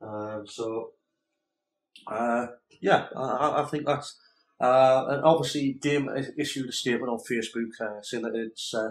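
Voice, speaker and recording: Speaking with a Geordie accent, a man holds a medium pitch and ordinary pitch variation at a moderate pace. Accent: northeast English (Geordie). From northeast England, Newcastle area. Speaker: gaming podcast co-host. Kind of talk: casual chat. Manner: halting, many fillers.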